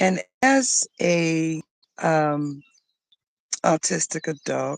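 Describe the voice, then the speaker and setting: The woman's voice is recorded dry and close, with no echo. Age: 60s. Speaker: life coach. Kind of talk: casual talk to camera. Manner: halting.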